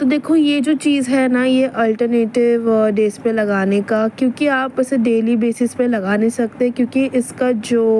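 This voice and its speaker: Over noticeable background noise, a woman with a high pitch speaks with very even loudness, fairly even intonation and hardly any pauses. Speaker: vlogger. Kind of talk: casual vlog narration. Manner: casual, chatty.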